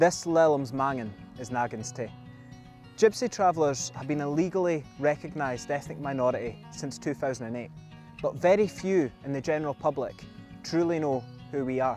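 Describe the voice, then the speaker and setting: A man with a Scottish accent speaks at a moderate pace with ordinary pitch variation. Faint music plays in the background, and the sound is dry with no echo. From Scotland. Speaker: Scottish Traveller heritage storyteller. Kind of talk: documentary history narration. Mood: earnest, serious. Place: open country. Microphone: lapel.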